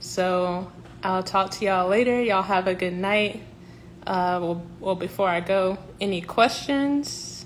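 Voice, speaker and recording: Speaking at a fairly slow pace with a Southern US accent, a woman uses a medium pitch and ordinary pitch variation. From South Carolina (Columbia). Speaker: professional organizer. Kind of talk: livestream announcement. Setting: Instagram live stream.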